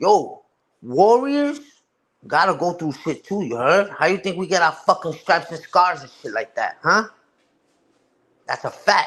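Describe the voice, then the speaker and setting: Pitched high, a man talks at a fairly slow pace with very wide pitch swings and big swings in loudness. Long pauses come often. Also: very clean recording, silent background. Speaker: live streamer. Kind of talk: casual chat. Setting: live stream. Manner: animated.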